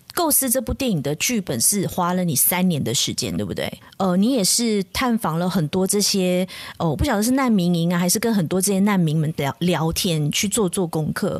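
A woman with a Malaysian accent talks at a fairly quick pace and medium pitch. Her intonation is lively and her loudness very even. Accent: Malaysian Mandarin. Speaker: podcast host. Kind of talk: casual chat.

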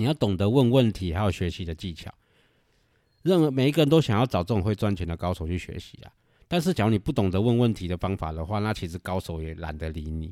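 Delivery is very fast with lively intonation and a Taiwanese accent. The recording is very clean, with a silent background. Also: man, fairly low pitch for a man. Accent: Taiwanese Mandarin. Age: 40s. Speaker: podcast host and investor. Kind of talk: casual monologue.

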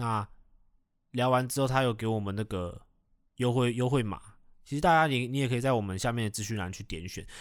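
With long, frequent pauses, a man speaks at a fairly quick pace and medium pitch with ordinary pitch variation, on a very clean recording with a silent background. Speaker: podcast co-host. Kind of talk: product endorsement; casual chat. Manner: low-key.

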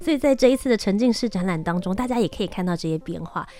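A woman with lively intonation. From Taiwan (Kaohsiung). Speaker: travel show host. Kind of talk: interview.

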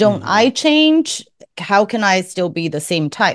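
A woman speaks with a Taiwanese accent. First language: Mandarin. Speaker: podcast host, MBTI content creator. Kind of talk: interview.

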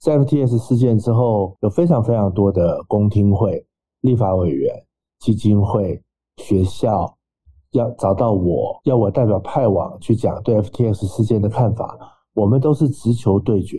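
This man has a dark, mellow tone, somewhat breathy, at a medium pitch with ordinary pitch variation. His loudness stays very even, and he talks at a fairly slow pace. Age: 40s. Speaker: startup investor and exchange adviser. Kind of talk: podcast interview.

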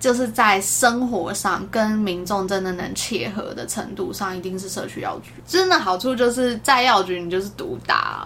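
A woman speaks at a moderate pace with hardly any pauses, her medium-pitched voice showing ordinary pitch variation and big swings in loudness, with music in the background and audible room echo. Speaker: pharmacist. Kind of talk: casual chat.

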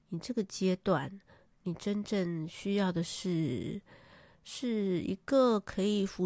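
A woman with a medium-pitched, dark, mellow voice talks at a very slow pace with ordinary pitch variation, in a dry, close sound with no echo on a very clean recording with a silent background. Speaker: podcast host. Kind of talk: solo monologue on spirituality. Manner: hesitant, many fillers.

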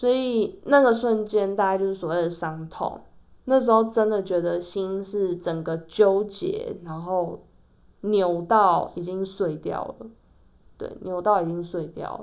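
A woman at a medium pitch speaks fairly slowly with ordinary pitch variation. Her loudness swings widely. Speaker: podcast host. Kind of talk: solo podcast monologue.

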